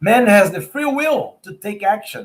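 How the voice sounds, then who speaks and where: A man speaks with an American accent. His pace is very slow. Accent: American-tinged English. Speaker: spiritist researcher and speaker. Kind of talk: lecture. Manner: halting.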